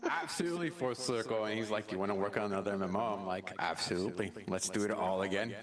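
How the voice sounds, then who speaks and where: A man with a fairly low pitch talks at a very fast pace, with lively intonation and hardly any pauses. His loudness stays very even over noticeable background noise. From Mexico. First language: Spanish. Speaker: game developer. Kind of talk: casual chat. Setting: live stream.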